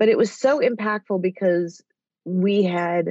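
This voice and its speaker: A woman speaks with an American accent in a dark, mellow tone. Her intonation stays fairly even. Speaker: TV development executive and author. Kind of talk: casual interview chat. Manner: rambly.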